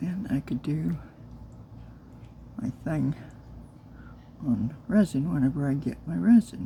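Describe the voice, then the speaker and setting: Soft-spoken and with vocal fry, a woman with a very deep, low pitch and a dark, mellow tone talks at a fairly slow pace, her pitch swinging very widely between long, frequent pauses. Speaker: crafter and new video creator. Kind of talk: casual craft tutorial.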